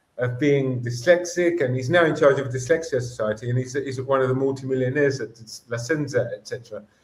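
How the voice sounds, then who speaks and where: A man talks at a very fast pace in a medium-pitched voice. He sounds somewhat breathy. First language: Greek. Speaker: educator. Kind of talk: interview. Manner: animated.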